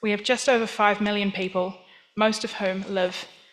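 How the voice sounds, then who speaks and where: In a New Zealand accent, a woman speaks at a moderate pace and medium pitch with monotone, flat intonation and audible room echo. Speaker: museum professional. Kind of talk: conference talk. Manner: formal.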